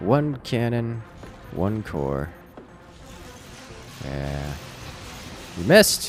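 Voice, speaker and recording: Over noticeable background noise, a man speaks at a very slow pace in a fairly low pitch, with very wide pitch swings and long, frequent pauses. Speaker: gaming livestreamer. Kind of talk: live gameplay commentary.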